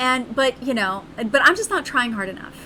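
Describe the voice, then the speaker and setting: Amid noticeable background noise, a woman speaks in an animated tone with ordinary pitch variation. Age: 40s. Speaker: streamer. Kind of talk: casual chat.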